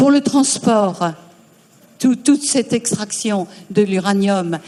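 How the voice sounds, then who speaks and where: Very slowly, a woman speaks at medium pitch with ordinary pitch variation. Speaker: audience member asking a question. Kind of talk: audience question at conference. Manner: loud.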